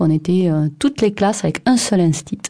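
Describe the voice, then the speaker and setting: Fairly quick and fairly low-pitched, this woman's speech moves along briskly. She talks with a southern French accent. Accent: southern French (Occitan). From southwest France, Aveyron. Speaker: scientist. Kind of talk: radio portrait interview.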